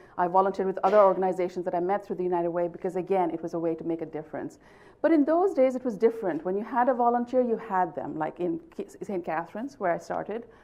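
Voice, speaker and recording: Very fast and with lively intonation, a woman delivers her lines. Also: medium pitch for a woman. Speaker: nonprofit executive. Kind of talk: conference presentation. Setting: conference room with live audience.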